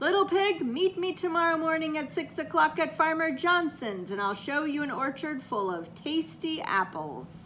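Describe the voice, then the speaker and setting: A woman shouts in a put-on character voice, high-pitched and growling. Background noise comes through clearly. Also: moderate pace. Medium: read story.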